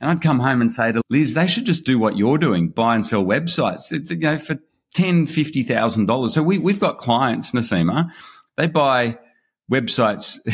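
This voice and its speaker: Speaking with an Australian accent, a man with a medium pitch and vocal fry makes very wide pitch swings at a moderate pace, on a very clean recording with a silent background. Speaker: online business investor. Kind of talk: interview.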